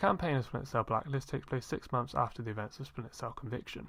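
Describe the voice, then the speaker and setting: Speaking at a very fast pace with a British accent, the voice comes through on a very clean recording with a silent background. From Britain. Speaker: gaming YouTuber. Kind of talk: scripted review narration.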